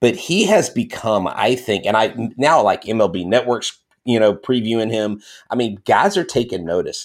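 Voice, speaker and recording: A man speaks at a moderate pace and medium pitch in a plain, everyday voice, with lively intonation. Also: very clean recording, silent background. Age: 40s. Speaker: podcast host. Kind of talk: casual chat.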